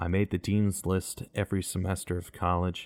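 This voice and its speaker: A very deep, low male voice with an American accent and ordinary pitch variation, dry and close with no echo. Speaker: podcast host and voice actor. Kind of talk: personal monologue. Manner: mellow; varied inflections.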